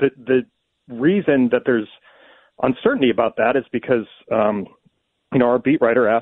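Medium pitch, moderate pace, and an unremarkable speaking voice from a man. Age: 50s. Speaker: newspaper sports columnist. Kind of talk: radio interview.

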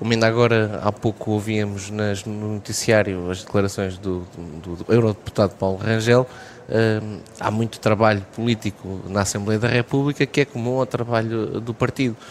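A man's fairly even intonation holds through speech delivered at a moderate pace. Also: fairly low pitch for a man. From Portugal, Vagos (Aveiro region). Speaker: mayor and politician. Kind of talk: radio interview. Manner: halting.

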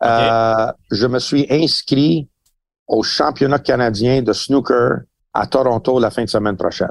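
A man uses a normal speaking voice, his medium pitch rising and falling in an ordinary way. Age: 60s. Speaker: boxing trainer and pundit. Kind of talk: casual chat.

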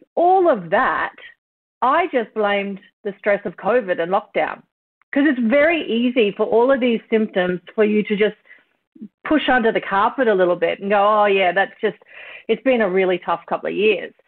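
A woman's fairly high voice with an Australian accent, lively intonation and a moderate pace. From country Queensland, Australia (Kingaroy). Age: 40s. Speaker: TV journalist and presenter. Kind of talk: casual interview chat. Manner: talkative, opinionated.

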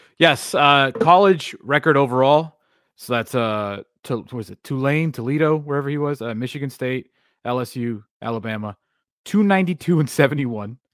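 Speaking at a moderate pace, a man with an unremarkable speaking voice and fairly high pitch shows ordinary pitch variation and big swings in loudness. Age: 30s. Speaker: sports talk co-host. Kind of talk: casual sports talk show.

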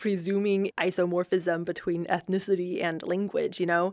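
Her pace is moderate and her pitch sits in the middle range for a woman. There is no background sound at all, and the recording is very clean. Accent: American. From US, Southern California (San Gabriel Valley). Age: 30s. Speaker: anthropologist and podcast host. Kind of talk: scripted narration mixed with casual interview. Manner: young and fresh-sounding.

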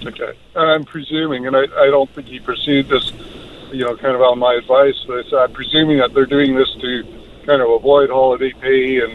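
A man at a medium pitch, monotone with flat intonation, at a fairly quick pace over noticeable background noise. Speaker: caller. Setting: phone call. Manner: casual, hesitant.

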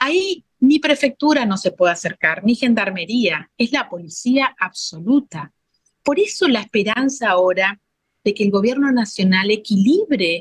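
Somewhat breathy and fairly high-pitched, a woman talks at a fairly slow pace with very wide pitch swings, in a dry, close sound with no echo. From Formosa, Argentina. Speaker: provincial legislator. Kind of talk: interview.

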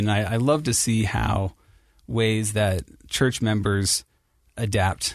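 Somewhat breathy and fairly low-pitched, a man speaks with an American accent and ordinary pitch variation over a quiet background. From Ohio, Cincinnati. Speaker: church history editor. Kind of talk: interview.

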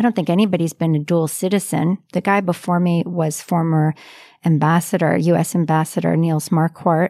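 At a fairly quick pace, a woman with an American accent talks in a fairly low pitch, with a dark, mellow tone and fairly even intonation. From US, Maryland near Washington DC. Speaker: business chamber chief executive. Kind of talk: interview answers.

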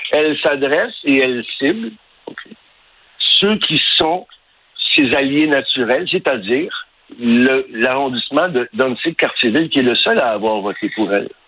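A man talks fairly slowly at a fairly high pitch, his intonation lively. There are long, frequent pauses and noticeable background noise. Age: 60s. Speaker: concerned local resident. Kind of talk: radio interview.

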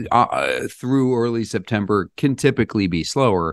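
A man is talking. His voice is hoarse. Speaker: real estate agent. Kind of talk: casual interview about the housing market.

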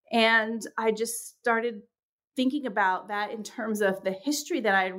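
On a very clean recording with a silent background, a woman with a New York accent and a fairly high pitch speaks at a moderate pace with ordinary pitch variation. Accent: American (New York). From New York, of English birth. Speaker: professor of religious studies. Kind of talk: interview. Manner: halting, frequent fillers and repetitions.

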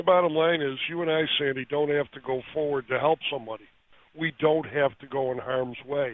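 A man with an unremarkable speaking voice, fairly high in pitch, at a fairly quick pace with fairly even intonation. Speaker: police attorney. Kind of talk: phone interview. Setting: phone call.

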